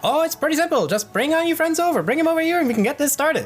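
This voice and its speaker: In a high-pitched, put-on character voice, the speaker rattles along at a very fast pace over clear background music. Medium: actual play. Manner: playful, teasing.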